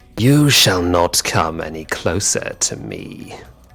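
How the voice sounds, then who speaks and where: A man's put-on character voice, very deep and low, with very wide pitch swings at a fairly slow pace. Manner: commanding, threatening.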